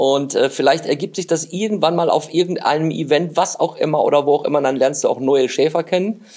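A man talks at a moderate pace and a fairly high pitch, with ordinary pitch variation. It is an ordinary speaking voice. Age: 50s. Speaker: podcast host. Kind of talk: casual interview. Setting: guest's office.

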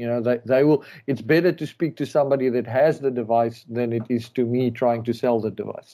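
Speaking at a fairly quick pace with hardly any pauses, a man with a dark, mellow tone and medium pitch keeps a fairly even intonation on a very clean recording with a silent background. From South Africa. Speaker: rally racer. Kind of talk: casual interview.

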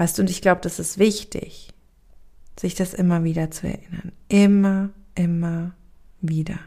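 Somewhat breathy and dark, mellow in tone, a woman speaks fairly slowly at a fairly low pitch, with monotone, flat intonation and long, frequent pauses. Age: 30s. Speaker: podcast host and spiritual coach. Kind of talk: solo reflective monologue. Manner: hesitant with frequent fillers.

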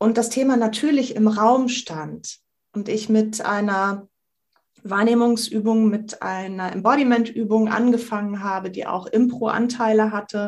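A fairly high-pitched, somewhat breathy woman's voice, fairly slow and fairly even in intonation. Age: 50s. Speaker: improv actress and workshop facilitator. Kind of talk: casual interview conversation.

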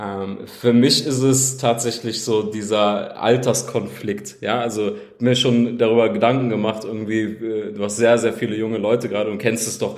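Audible room echo comes through as a man at medium pitch talks at a moderate pace with fairly even intonation and hardly any pauses. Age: 30s. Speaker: game company founder. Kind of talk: interview.

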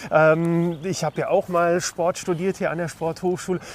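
A man speaks at a moderate pace in a high, flat, monotone voice. Noticeable background noise sits behind him. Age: 50s. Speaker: podcast host. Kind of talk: casual interview. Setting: outdoors, walking. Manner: hesitant, many fillers.

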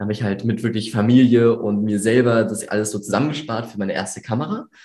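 Someone talks at a very fast pace, with audible room echo around the voice. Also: man. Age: 18. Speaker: videographer and business owner. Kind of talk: interview. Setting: studio, in person at the host's office.

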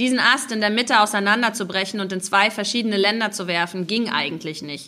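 This woman's voice sits at a medium pitch and carries a bright, sharp tone. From Mecklenburg Baltic coast, Rostock. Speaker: novelist and journalist. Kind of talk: author reading with interview. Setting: live reading event with audience.

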